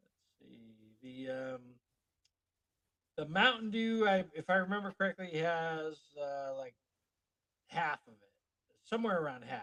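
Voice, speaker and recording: In a bright, sharp tone, a man with a high pitch speaks with big swings in loudness and long, frequent pauses. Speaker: podcast co-host. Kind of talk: casual chat. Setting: live stream. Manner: fast.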